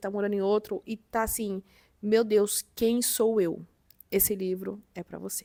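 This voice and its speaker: In a very clean recording with a silent background, a woman speaks in a dark, mellow tone with monotone, flat intonation. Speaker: book youtuber. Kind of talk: casual vlog chat.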